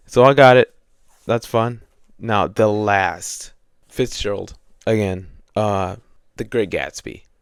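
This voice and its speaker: A man with a fairly low pitch and fairly even intonation speaks at a very slow pace with long, frequent pauses, in a very clean recording with a silent background. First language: not English. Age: 20s. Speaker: student and book vlogger. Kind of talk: casual chat. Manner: casual, filler-heavy.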